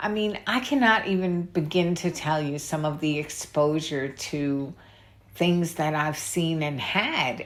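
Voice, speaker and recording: This is a woman speaking. She has a New York accent. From New York City. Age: 60s. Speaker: YouTuber. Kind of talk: casual vlog rant. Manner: halting.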